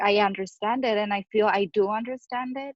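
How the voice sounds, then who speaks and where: A woman with a Spanish accent at a moderate pace, monotone and flat in intonation, in a dry, close sound with no echo. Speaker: social worker studying for licensing exam. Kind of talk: casual chat. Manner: halting.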